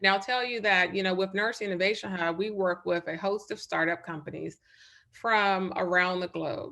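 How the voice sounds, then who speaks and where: Bright, sharp tone from a woman at medium pitch, with a slight Southern US accent, fairly even intonation and a quiet background. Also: moderate pace. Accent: slight Southern twang. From North Carolina. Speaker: nurse and startup advisor. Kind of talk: webinar presentation.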